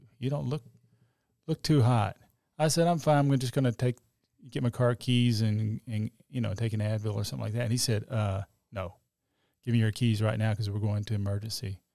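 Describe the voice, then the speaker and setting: In a very clean, dry recording with a silent background and no echo, a man with a dark, mellow tone talks at a fairly quick pace with ordinary pitch variation and long, frequent pauses. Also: medium pitch for a man. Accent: Texan. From Texas, Oak Cliff (Dallas). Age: 60s. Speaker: accident survivor, church worship singer. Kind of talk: testimony.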